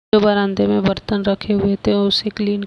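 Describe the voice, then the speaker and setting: With noticeable background noise and a dry, close sound with no echo, a woman speaks very slowly. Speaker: home vlogger. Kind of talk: voice-over narration of cleaning vlog.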